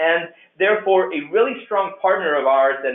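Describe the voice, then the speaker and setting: Words come very fast from a man speaking. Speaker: program coordinator presenting orientation. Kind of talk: online orientation presentation. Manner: frequent fillers and restarts.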